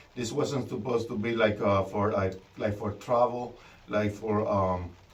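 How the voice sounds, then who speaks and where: A man with a fairly low voice speaks at a moderate pace with fairly even intonation, with noticeable background noise and audible room echo. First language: not English. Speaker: DIY trailer builder vlogger. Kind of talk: casual vlog tutorial. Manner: halting, many fillers and repetitions.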